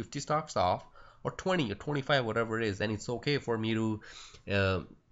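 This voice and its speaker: A man's fairly quick speech with a Punjabi accent. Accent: Indian Punjabi. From India, Punjab. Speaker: stock trading educator. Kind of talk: screen-recorded trading tutorial. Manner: halting, many fillers; casual.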